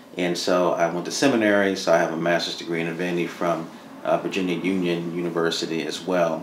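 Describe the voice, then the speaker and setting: With an American accent, a man speaks in a very deep, low pitch and a monotone, flat intonation, with light background noise and audible room echo. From New Jersey (Madison, Morris County). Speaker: economic development executive. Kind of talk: interview. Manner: conversational with many filler words. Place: studio.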